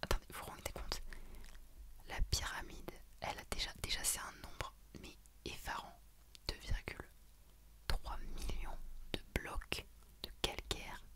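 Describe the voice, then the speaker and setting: Whispering at a fairly slow pace, a woman leaves long, frequent pauses while her loudness swings widely. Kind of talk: ASMR general-knowledge facts read to camera. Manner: whispered.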